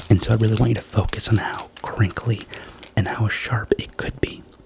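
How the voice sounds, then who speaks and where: A man whispers in a gentle, calm tone at a moderate pace, with noticeable background noise behind him. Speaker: ASMR creator doing a doctor roleplay. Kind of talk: ASMR roleplay, soft-spoken. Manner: soft-spoken, gentle, calm.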